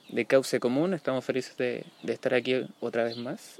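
A man talks at medium pitch and a moderate pace. Noticeable noise sits in the background. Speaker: podcast host and social activist. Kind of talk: casual chat. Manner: halting.

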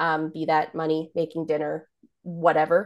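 An ordinary speaking voice from a woman, fairly low in pitch. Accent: Canadian. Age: 20s. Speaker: photographer. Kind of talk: coaching call, casual. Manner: laughs often.

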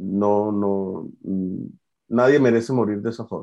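A fairly low-pitched man at a very slow pace, his intonation fairly even. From Venezuela, Valencia. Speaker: art student and graphic designer. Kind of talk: personal testimony. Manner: halting.

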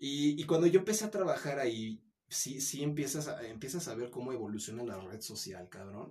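A man's medium-pitched, dark, mellow voice, somewhat breathy, at a fairly quick pace, with very wide pitch swings and big swings in loudness. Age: 20s. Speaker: former social media video creator. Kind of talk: casual chat. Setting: host's home or office.

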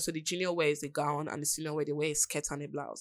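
Speaking at a very fast pace with a Nigerian accent, a woman is heard on a very clean recording with a silent background. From Nigeria, Rivers State. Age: 20s. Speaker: aspiring radio presenter. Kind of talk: testimony.

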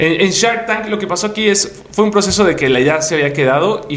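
A man speaks at a fairly quick pace with ordinary pitch variation. Audible room echo and noticeable background noise are present. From Mexico, Puebla. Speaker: entrepreneur and content creator. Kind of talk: interview.

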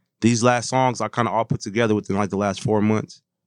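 The recording sounds dry and close, with no echo. A man is the one talking. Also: quiet background. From St. Paul, Minnesota. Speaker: music producer and rapper. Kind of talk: casual chat.

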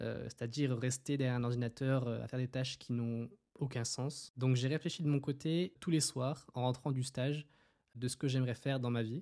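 Dark and mellow in tone, a man speaks at a moderate pace with fairly even intonation. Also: medium pitch for a man, very clean recording, silent background. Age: 20s. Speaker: podcast host and clothing brand entrepreneur. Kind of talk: casual monologue.

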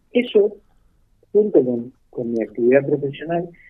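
Speaking with a Rioplatense accent, a man keeps a medium pitch and ordinary pitch variation. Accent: Argentine Rioplatense Spanish. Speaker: retired doctor. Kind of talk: radio interview. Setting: phone call. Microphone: blurry connection.

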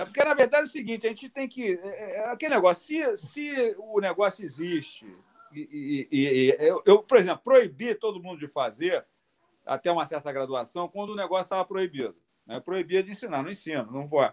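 In a dry, close recording with no echo, a man speaks at a moderate pace with a high pitch, very wide pitch swings and big swings in loudness. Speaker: jiu-jitsu master and doctor. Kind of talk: casual live stream chat.

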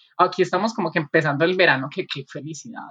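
A woman talks at a very fast pace in a fairly low pitch, with ordinary pitch variation. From Colombia, Medellín. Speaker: podcast co-host. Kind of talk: casual chat.

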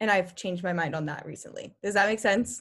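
Recorded very cleanly against a silent background, a woman with a medium pitch speaks in a bright, sharp tone with ordinary pitch variation. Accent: American. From California, Sacramento. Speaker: college student and club president. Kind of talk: casual interview.

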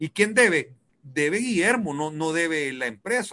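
A man speaks at a high pitch and fairly slow pace. His tone is bright and sharp, with lively intonation. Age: 50s. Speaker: businessman and weekly radio guest. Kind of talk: casual radio chat about personal finance.

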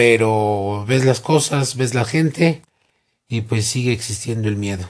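A man at a medium pitch with a quiet background. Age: 40s. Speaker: interviewee, earthquake survivor. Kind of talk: interview.

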